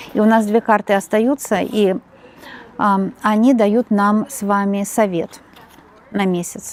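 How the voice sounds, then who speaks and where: A soft-spoken woman at a medium pitch and very slow pace, with long, frequent pauses, fairly even intonation and big swings in loudness. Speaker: tarot reader. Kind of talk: tarot reading monologue. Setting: home.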